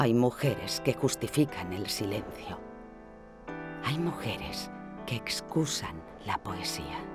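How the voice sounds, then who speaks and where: With music in the background, a woman speaks at a very deep, low pitch and a very slow pace, using very wide pitch swings and long, frequent pauses. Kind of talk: poetry reading.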